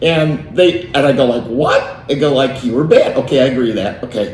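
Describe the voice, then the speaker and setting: A man with a fairly high pitch and lively intonation at a moderate pace, amid noticeable background noise and audible room echo. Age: 60s. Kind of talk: casual interview storytelling.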